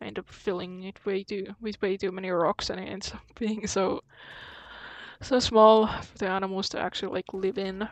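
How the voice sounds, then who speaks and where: Mumbling at a moderate pace, a woman with a non-native accent speaks at a medium pitch in a monotone, flat intonation. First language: not English. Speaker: gaming streamer. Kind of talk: live gameplay commentary. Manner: halting.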